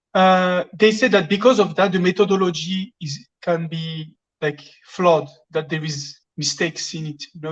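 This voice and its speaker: Somewhat breathy and medium in pitch, a woman speaks at a fairly slow pace with ordinary pitch variation. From France. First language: French. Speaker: caller. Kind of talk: asking a question on a live call-in. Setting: phone call. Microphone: echo on phone line.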